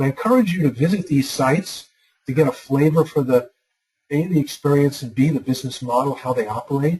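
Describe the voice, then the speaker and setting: A dark, mellow, somewhat breathy tone in a New York accent, at a very fast pace with ordinary pitch variation. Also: man, fairly high pitch for a man. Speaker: university lecturer. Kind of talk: online lecture.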